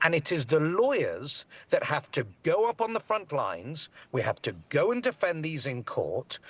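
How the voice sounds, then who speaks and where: Recorded with a dry, close sound and no echo, a man in a British accent speaks at a moderate pace. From Britain. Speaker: immigration lawyer. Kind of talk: TV news interview.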